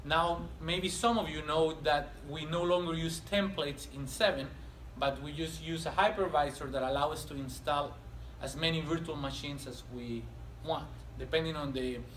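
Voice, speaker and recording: A man with a non-native accent at a moderate pace, amid noticeable background noise and audible room echo. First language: not English. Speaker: technical trainer. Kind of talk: lecture.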